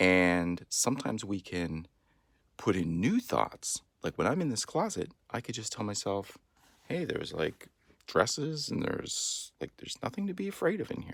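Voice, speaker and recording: A soft-spoken man talks at a moderate pace with a medium pitch and very wide pitch swings. The recording is very clean, with a silent background. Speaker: great-uncle making a video message. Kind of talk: explaining to a child.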